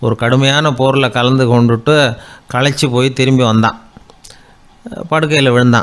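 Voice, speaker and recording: A man at medium pitch with fairly even intonation. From Tamil Nadu, India. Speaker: radio broadcaster. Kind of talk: anecdotal storytelling talk. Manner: simple colloquial, easy style.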